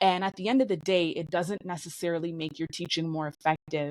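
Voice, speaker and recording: An unremarkable speaking voice with fairly even intonation, in a dry, close sound with no echo. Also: woman. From Canada. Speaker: English teacher. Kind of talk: interview answer.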